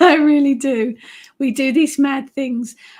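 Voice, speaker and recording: A woman speaks in an English accent at a high pitch. Her pace is fairly slow and her intonation fairly even. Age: 50s. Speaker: witch and author, live stream host. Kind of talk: live stream chat reading comments.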